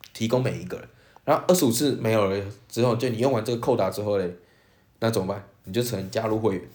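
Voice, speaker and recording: A man with a Taiwanese accent, medium in pitch, with fairly even intonation and audible room echo. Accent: Taiwanese Mandarin. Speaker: podcast co-host. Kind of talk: casual chat.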